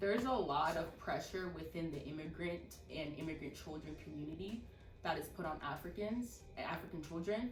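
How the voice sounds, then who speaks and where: Backed by music and audible room echo, a woman talks at a moderate pace in a fairly low pitch with ordinary pitch variation. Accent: American. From Texas, US. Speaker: podcast host. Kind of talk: casual chat.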